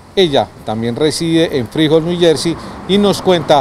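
A man speaks at a fairly high pitch and a moderate pace with ordinary pitch variation. The sound is dry with no echo, with noticeable background noise. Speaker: TV program host. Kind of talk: presenting, introducing segments. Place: street. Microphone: handheld.

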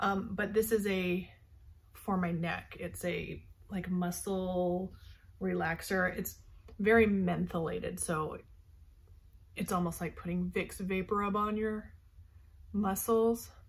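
Somewhat breathy, the voice keeps a fairly even intonation at a very slow pace, broken by long, frequent pauses. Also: woman. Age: 40s. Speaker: beauty vlogger. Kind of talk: casual tutorial. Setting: bedroom at night. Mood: relaxed, casual. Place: home room. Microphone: earbuds.

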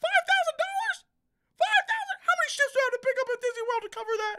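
Extremely high and squeaky, this put-on character voice races along at a very fast pace. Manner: indignant, complaining.

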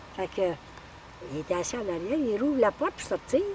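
A woman talks at a fairly quick pace with very wide pitch swings, her dry sound carrying no echo over light background noise. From Quebec. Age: 80s+. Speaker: elderly relative sharing family memories; elderly storyteller. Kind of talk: casual storytelling. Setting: cottage. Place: forest.

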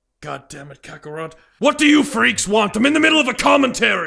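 A man puts on a character voice at an extremely high pitch. He goes at a very fast pace with very wide pitch swings. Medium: role play. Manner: loud, exasperated, shouting.

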